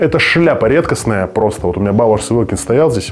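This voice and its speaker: Talking at a very fast pace over light background noise, a man has a fairly low pitch. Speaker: home tour vlogger. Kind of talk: casual vlog chat. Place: home room. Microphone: lapel.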